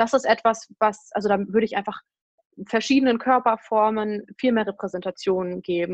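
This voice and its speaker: In a normal speaking voice, a woman talks at a moderate pace with a fairly high pitch and ordinary pitch variation, the sound dry and close with no echo against a quiet background. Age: 20s. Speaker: blogger and author on eating disorders. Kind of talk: interview.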